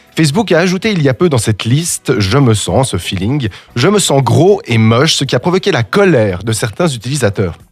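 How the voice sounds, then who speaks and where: Music plays in the background as a man talks at a fairly quick pace and a medium pitch. His pitch swings very widely while his loudness stays very even. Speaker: radio host. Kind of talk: humorous radio column. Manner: ranting, animated.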